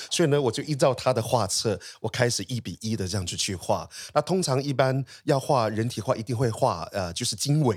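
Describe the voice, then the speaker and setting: Here is an unremarkable speaking voice from a man at medium pitch with lively intonation. He talks at a fairly quick pace in a very clean recording with a silent background. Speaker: artist. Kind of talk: interview.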